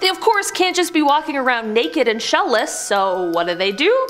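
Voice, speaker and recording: Her pitch is high and swings very widely. The woman keeps a moderate pace over light background noise. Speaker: video host. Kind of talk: educational countdown narration. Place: studio.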